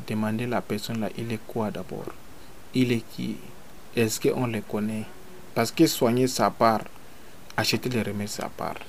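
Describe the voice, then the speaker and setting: A man at medium pitch and a fairly slow pace. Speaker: traditional healer. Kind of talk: radio interview. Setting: at his home.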